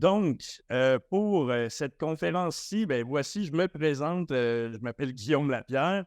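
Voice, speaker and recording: Against a quiet background with a dry, close sound and no echo, a man with a Quebec accent speaks at a fairly high pitch and fairly slow pace with lively intonation. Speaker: agile coach. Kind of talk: conference talk. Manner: animated; halting.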